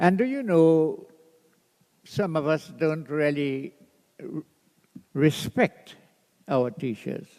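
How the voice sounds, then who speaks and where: A man speaks at a very slow pace with long, frequent pauses. His fairly high voice has a dark, mellow tone and lively intonation. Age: 90s. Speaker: tribute speaker at memorial. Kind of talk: speech to an audience.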